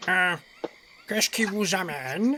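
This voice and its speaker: A man's croaky, high-pitched put-on character voice at a moderate pace. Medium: actual play. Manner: courteous, welcoming.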